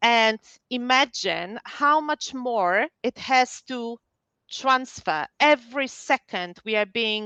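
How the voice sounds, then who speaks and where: A woman speaks in a high, bright, sharp voice. The sound is dry and close with no echo, over a quiet background. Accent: Polish. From Poland. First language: Polish. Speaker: psychologist. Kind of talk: webinar talk.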